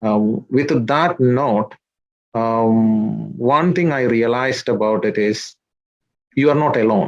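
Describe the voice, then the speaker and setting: A man's medium-pitched voice with a Malayali accent, very slow in pace, with ordinary pitch variation. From India, Kerala (Idukki district). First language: Malayalam. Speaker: social worker, immigrant community figure. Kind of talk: interview. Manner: halting, many fillers.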